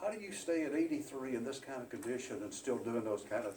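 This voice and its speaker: Over noticeable background noise, a man talks at a fairly quick pace in a medium pitch. His pitch swings very widely. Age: 80s+. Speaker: guest speaker, retired insurance agent and powerlifter. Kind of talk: motivational club speech.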